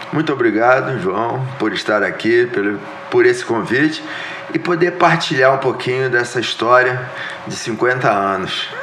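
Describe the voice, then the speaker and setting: Medium-pitched male speech at a moderate pace with ordinary pitch variation, audible room echo and noticeable background noise. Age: 60s. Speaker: businessman and former politician. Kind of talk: interview podcast.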